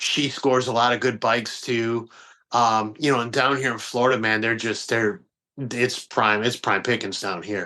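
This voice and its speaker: This man speaks with a Midwestern American accent in a bright, sharp tone and fairly even intonation. The background is quiet. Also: medium pitch for a man, moderate pace. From Detroit, US Midwest. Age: 40s. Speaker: magazine publisher. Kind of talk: podcast interview. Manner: casual, halting with fillers.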